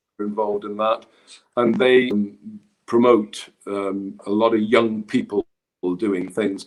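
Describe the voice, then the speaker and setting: A man speaks at a fairly slow pace and medium pitch in a normal speaking voice. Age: 50s. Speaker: traditional musician and music school backer. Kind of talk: casual chat.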